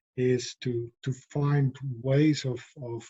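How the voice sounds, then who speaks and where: Speaking with a non-native accent, a man has a somewhat breathy, dark, mellow tone at medium pitch and monotone, flat intonation. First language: not English. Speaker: philosopher of education, professor. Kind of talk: interview conversation. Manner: hesitant, many fillers and repetitions.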